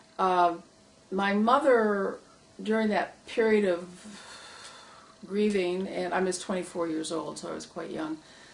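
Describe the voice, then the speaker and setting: A woman with an American accent speaks at a fairly slow pace and a medium pitch over noticeable background noise. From Michigan, US. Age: 70s. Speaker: retired social worker, public policy advocate. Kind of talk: oral history interview. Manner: hesitant, many fillers.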